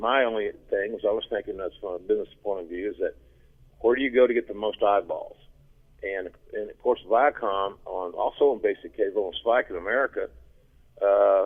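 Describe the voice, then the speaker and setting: Loudness rises and falls sharply in this man's speech. He goes at a fairly quick pace. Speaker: wrestling commentator. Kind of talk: interview answer. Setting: phone line.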